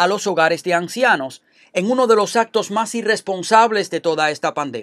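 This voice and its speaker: The sound is dry and close, without echo. A man speaks in a high pitch with ordinary pitch variation. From Cuba. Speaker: political commentator. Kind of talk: scripted opinion commentary.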